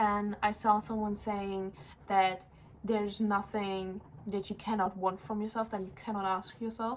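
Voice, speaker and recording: The speech comes at a fairly slow pace in a flat, monotone delivery. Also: woman, medium pitch for a woman. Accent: German. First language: German. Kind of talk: casual chat.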